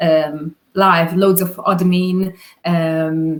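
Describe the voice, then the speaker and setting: A woman speaks with a Hungarian accent. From Hungary. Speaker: videographer. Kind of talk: interview. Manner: halting.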